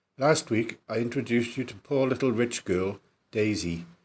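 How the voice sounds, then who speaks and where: A man with a Welsh accent speaks at a medium pitch and moderate pace in a very clean recording with a silent background. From south Wales. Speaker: author. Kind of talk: podcast trailer introduction.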